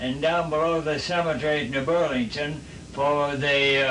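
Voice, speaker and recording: Amid noticeable background noise and audible room echo, a man with an American accent speaks at a fairly high pitch with fairly even intonation. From US Midwest, southwest Ohio. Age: 80s+. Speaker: war veteran. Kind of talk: interview. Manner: halting.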